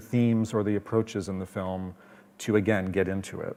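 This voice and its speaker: The speaker has a Canadian accent and a fairly quick pace. The recording is very clean, with a silent background. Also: man. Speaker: film festival programmer. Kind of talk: panel presentation. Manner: fast.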